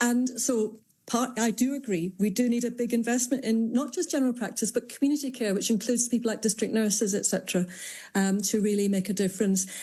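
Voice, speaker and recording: A woman talks very fast in a fairly high, somewhat breathy voice with a dark, mellow tone and ordinary pitch variation. Her loudness stays very even, and the recording is very clean with a silent background. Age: 60s. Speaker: GP and health campaigner. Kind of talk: radio interview.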